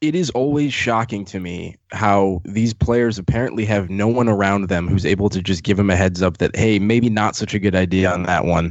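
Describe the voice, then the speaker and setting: A man with a plain, everyday voice speaks at a moderate pace and fairly low pitch, with ordinary pitch variation and hardly any pauses. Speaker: podcast co-host. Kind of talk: casual chat, podcast.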